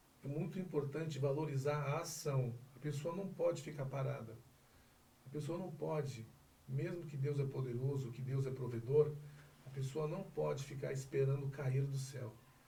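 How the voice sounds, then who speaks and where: Fairly high male voice at a moderate pace, with fairly even intonation and noticeable background noise. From Northeast Brazil, Bahia. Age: 40s. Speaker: insurance broker and lawyer. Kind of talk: interview answer.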